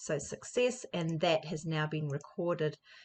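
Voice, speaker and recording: A woman's very deep, low voice, somewhat breathy, at a moderate pace. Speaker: educational software presenter. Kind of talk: tutorial.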